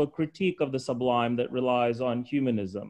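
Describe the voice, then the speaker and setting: Over a quiet background, this man's words come at a moderate speed. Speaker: English professor, discussant; English professor. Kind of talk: webinar discussion. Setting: video call. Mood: calm, thoughtful. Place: home room. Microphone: webcam.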